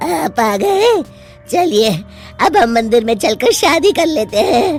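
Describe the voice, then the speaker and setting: In a cartoonish character voice, the speaker moves at a moderate pace with a fairly high pitch and very wide pitch swings over clear music in the background. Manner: cackling.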